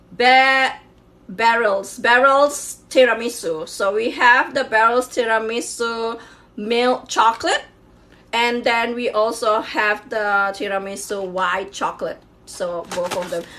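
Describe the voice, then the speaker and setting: Her tone bright and sharp, a woman with a Chinese accent speaks at a very slow pace in a fairly high pitch with ordinary pitch variation. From Malaysia, Sabah (Borneo). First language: Hakka Chinese. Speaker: YouTuber. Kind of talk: casual unboxing vlog. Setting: home kitchen.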